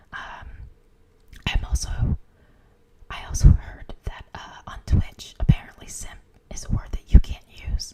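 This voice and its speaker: Someone whispers at a fairly slow pace, leaving long, frequent pauses. Noticeable background noise runs underneath. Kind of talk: ASMR live stream chat. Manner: whispered, soft.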